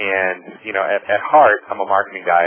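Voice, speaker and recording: There is noticeable background noise behind the speaker. A man with a fairly low voice talks in a Boston accent. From US Northeast, Boston. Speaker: marketing executive, webinar presenter. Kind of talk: webinar presentation. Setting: webinar over phone line. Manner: fast; animated.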